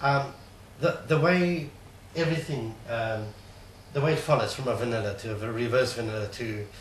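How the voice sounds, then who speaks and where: Moderate pace and ordinary pitch variation, with long, frequent pauses, noticeable background noise and audible room echo. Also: man, medium pitch for a man. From South Africa. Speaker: trading course attendee. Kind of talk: interview. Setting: studio. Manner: halting.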